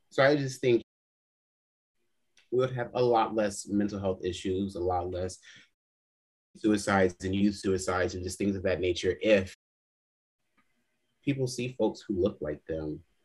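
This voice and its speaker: With an American accent and a somewhat breathy, fairly low voice, a man speaks with long, frequent pauses against a quiet background. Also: ordinary pitch variation, moderate pace. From Los Angeles, US West Coast. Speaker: podcast guest. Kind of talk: casual chat. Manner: animated.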